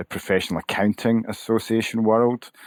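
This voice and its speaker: The recording of this man at a moderate pace is very clean, with a silent background and a dry, close sound with no echo. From Scotland, Glasgow. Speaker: association CEO, former accountant. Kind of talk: podcast interview.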